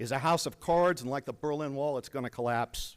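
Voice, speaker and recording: A man with an American accent and an ordinary speaking voice, fairly high in pitch, with ordinary pitch variation, a fairly quick pace and a very clean recording over a silent background. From Virginia. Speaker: retired army chaplain and veteran. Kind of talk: public comment speech at a school board meeting. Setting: meeting hall. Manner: forceful, indignant.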